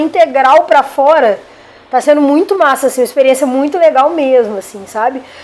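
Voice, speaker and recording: A woman speaks in a Minas Gerais accent with ordinary pitch variation. Noticeable background noise is present. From Minas Gerais, Brazil. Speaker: rapper and poet. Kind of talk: interview.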